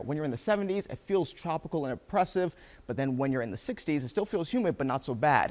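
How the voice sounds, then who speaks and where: At a very fast pace, a man talks with lively intonation. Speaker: TV meteorologist. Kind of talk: TV weather forecast. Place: studio. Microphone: lapel.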